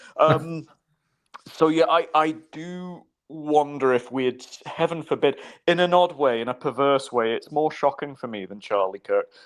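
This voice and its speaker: A man with a Scottish accent talks at a moderate pace with ordinary pitch variation over a quiet background. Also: big swings in loudness. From Scotland. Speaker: political commentator. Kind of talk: casual chat. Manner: halting.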